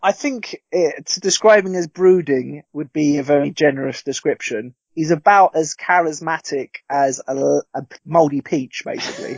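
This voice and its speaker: This man has an ordinary speaking voice with a fairly high pitch. He keeps a moderate pace and ordinary pitch variation. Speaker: guest film commentator. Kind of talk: casual chat, podcast banter.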